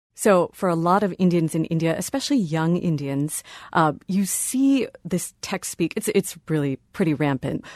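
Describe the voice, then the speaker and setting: A woman with an American accent and a fairly low pitch, lively intonation, a moderate pace and hardly any pauses, in a dry, close sound with no echo against a quiet background. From Ohio, US. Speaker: podcast producer. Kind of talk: interview and spelling quiz.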